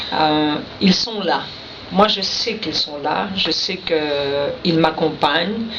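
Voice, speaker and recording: Amid audible room echo and noticeable background noise, a woman with a Quebec accent speaks very slowly at a fairly low pitch with ordinary pitch variation. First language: Innu (speaking French). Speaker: poet. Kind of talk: radio interview. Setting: radio studio.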